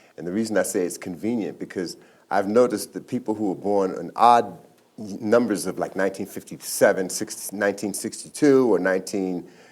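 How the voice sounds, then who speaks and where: A man's normal speaking voice, fairly low in pitch and fairly even in intonation, at a fairly quick pace with big swings in loudness, on a very clean recording with a silent background. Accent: American. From Brooklyn, New York. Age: 60s. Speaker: author. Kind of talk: interview.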